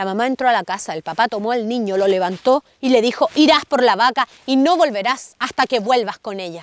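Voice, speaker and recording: A woman speaks at a fairly quick pace in a fairly high voice with lively intonation and an animated, playful tone. The sound is dry with no echo. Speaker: storyteller. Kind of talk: bedtime story telling. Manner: animated, playful, dramatic pauses; gentle, warm, child-directed. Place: open country. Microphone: lapel.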